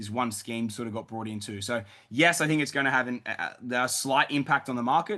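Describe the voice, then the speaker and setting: Bright and sharp in tone, a man talks at a medium pitch with ordinary pitch variation. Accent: Australian. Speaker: property investment advisor hosting Q&A. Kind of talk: live webinar Q&A. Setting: webinar. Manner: loud; animated.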